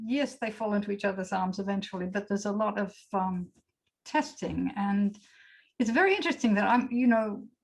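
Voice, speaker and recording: A woman speaks at a medium pitch with ordinary pitch variation. Her voice is somewhat breathy. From Australia. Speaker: poet. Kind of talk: panel discussion.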